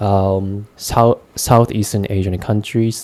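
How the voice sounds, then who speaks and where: A man with a Japanese accent speaks at a fairly slow pace in a fairly low voice. His tone is dark and mellow, and his intonation fairly even. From Japan, Gunma Prefecture. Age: 20s. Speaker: vlogger, English learner. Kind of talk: casual monologue. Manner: halting, many fillers.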